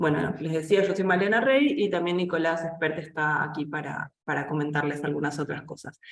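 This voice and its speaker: A woman talks with hardly any pauses. Her pitch is very deep and low. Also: ordinary pitch variation, moderate pace. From Argentina, Buenos Aires. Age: 30s. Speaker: editor and cultural journalist. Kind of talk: online seminar presentation. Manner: hesitant fillers.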